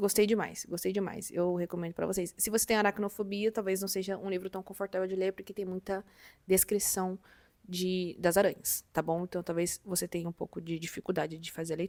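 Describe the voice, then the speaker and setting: This woman has an unremarkable speaking voice at a medium pitch and talks at a fairly quick pace with fairly even intonation. The sound is dry and close, without echo. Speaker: book youtuber. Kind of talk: casual vlog chat.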